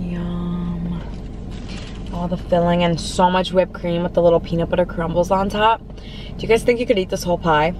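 A woman speaks at a fairly quick pace. The sound is dry with no echo, though noticeable background noise is present. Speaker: food vlogger. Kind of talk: casual vlog chat. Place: car.

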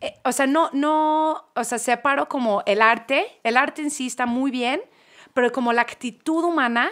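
On a very clean recording with a silent background, a woman speaks at a fairly slow pace. Her pitch is high, with ordinary variation. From Manchester, England. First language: English (speaking Spanish). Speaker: podcast guest. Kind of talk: casual chat. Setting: studio.

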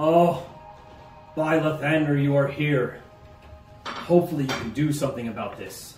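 A man does a put-on character voice, fairly high in pitch. There is slight echo and clear background noise. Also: moderate pace. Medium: actual play. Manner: pleading, reverent, relieved.

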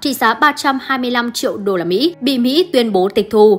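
This is a woman with a normal speaking voice and a fairly high pitch. Her intonation is lively. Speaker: news presenter. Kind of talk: news reading.

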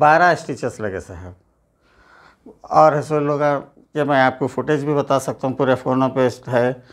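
A man talks fairly slowly, his pitch moving in an ordinary way, with a quiet background. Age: 50s. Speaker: assault victim. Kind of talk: testimony. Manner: pleading. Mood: aggrieved, earnest complaint. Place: home room. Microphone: lapel.

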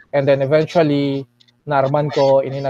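Recorded dry with no echo, a man talks at a fairly slow pace. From Milagros, Masbate, Philippines; Philippines. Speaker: writer and poet; poet. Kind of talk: radio interview. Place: home room. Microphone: earbuds.

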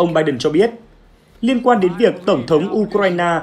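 A man's high, lively voice at a fairly quick pace, with noticeable background noise. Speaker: news presenter. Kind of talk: news reading.

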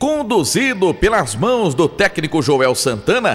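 Pitched high for a man, his voice swings very widely in pitch as he goes at a fairly slow pace. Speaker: sports documentary voice-over narrator. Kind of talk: documentary narration. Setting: studio.

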